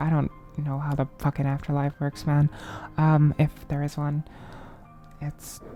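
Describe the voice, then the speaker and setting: A woman speaks at a fairly slow pace in a very deep, low pitch with monotone, flat intonation and long, frequent pauses. Music plays in the background. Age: 20s. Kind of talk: personal ramble to camera. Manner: hesitant, halting.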